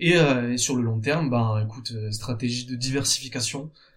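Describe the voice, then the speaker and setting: At a moderate tempo, the man talks with a somewhat breathy quality and a pitch in the middle range. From France, Bordeaux. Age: 30s. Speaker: entrepreneur, founder of a jersey business. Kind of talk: interview. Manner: halting, with frequent repetitions.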